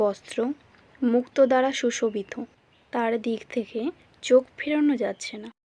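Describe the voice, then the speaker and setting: Her high-pitched voice has a dark, mellow tone, and this woman's loudness swings widely. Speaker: voice-over artist. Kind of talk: read story narration.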